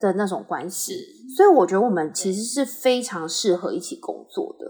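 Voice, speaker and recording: A woman at a medium pitch speaks in an unremarkable speaking voice. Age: 30s. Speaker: patient autonomy nonprofit staff. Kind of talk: interview conversation.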